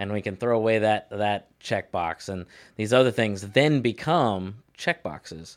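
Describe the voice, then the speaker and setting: A plain, everyday voice, a man at a fairly low pitch and a fairly slow pace, on a very clean recording with a silent background. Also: ordinary pitch variation. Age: 30s. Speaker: podcast host, security guard, ordained minister. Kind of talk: casual chat.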